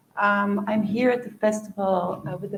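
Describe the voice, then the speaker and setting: A woman speaks in a Dutch accent. Her pace is moderate. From Netherlands. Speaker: documentary producer. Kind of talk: panel discussion.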